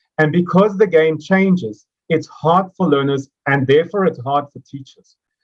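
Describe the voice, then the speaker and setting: His pitch sits fairly high for a man. It varies by an ordinary amount. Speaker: mathematics education speaker. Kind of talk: educational presentation. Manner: fast.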